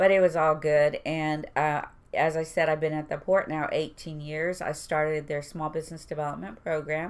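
Speaking with an American accent at a moderate pace, the voice has monotone, flat intonation. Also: woman, very deep, low pitch for a woman. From Houston, Texas (East End). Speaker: port employee. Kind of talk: casual interview chat.

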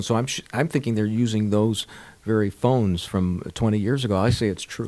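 A man's fairly low voice with an American accent and ordinary pitch variation. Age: 60s. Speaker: radio broadcaster and podcast host. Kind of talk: casual chat. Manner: animated.

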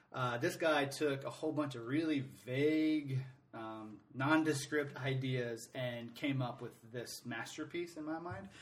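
In a room with audible echo, a man with an American accent and a fairly high voice speaks at a fairly slow pace. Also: ordinary pitch variation. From Atlanta, US South. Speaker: soccer supporters group president. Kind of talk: casual interview.

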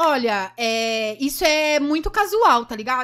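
Making very wide pitch swings, a woman speaks in a raised, projected voice. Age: 20s. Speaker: adult film actress and influencer. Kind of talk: casual chat.

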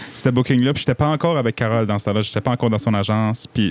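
A man speaks at a very fast pace with ordinary pitch variation. The recording is very clean with a silent background, and the sound is dry and close with no echo. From New Brunswick, Acadian (Petit-Rocher). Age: 20s. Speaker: singer-songwriter. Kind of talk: casual interview chat. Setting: basement studio.

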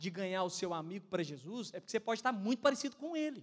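With a Brazilian accent, a man speaks at a high pitch in an animated tone, his pitch swinging very widely. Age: 20s. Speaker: pastor. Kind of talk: sermon. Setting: church.

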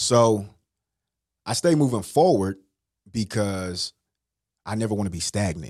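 In a dry, close recording with no echo, a man with an American accent speaks at fairly low pitch and a fairly slow pace, with an animated tone, lively intonation and long, frequent pauses. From US West Coast, Richmond, California. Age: 40s. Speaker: motivational speaker. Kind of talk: casual interview.

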